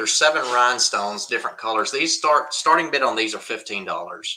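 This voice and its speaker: With a Southern US accent, a man speaks at a very fast pace. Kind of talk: live auction stream.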